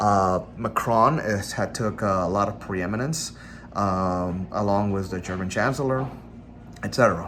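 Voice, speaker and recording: A man with a non-native accent, amid noticeable background noise and audible room echo. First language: not English. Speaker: political commentator. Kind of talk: casual monologue. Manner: halting, with fillers and self-corrections.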